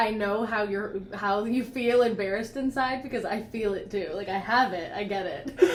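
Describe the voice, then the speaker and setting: Noticeable background noise beneath a woman with a fairly high pitch. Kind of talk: casual makeup Q&A conversation.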